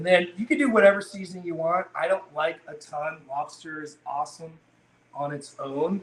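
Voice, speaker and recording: A man speaks at a fairly slow pace with a slight Maine accent. His pitch varies in an ordinary way. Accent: little Maine. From Maine, US. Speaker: seafood company founder. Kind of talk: live cooking demonstration. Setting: kitchen, live stream.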